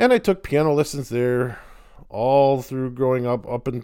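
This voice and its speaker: A man speaks with an American accent at a moderate pace. His tone is dark and mellow. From Chicago western suburbs, US Midwest. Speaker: podcast host, composer and college professor. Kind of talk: casual solo monologue. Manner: conversational with filler words.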